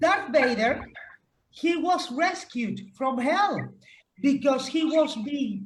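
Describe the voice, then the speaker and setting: A woman's high voice in a Spanish accent, at a very slow pace with lively intonation, in audible room echo. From Spain. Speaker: pet rights advocate. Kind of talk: roundtable discussion.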